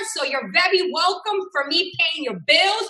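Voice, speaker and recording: A woman's voice is raised and projected, with a bright, sharp tone. She keeps a moderate pace with ordinary pitch variation. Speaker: forex trading teacher. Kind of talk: live trading tutorial.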